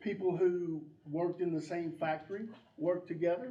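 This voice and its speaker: Amid audible room echo, a man with a North Carolina accent speaks at a high pitch with a dark, mellow tone. His intonation is lively and his pace fairly slow. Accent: Southern US (North Carolina). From US South, North Carolina (Drexel). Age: 60s. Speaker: election candidate. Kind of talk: candidate forum speech. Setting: community room with audience.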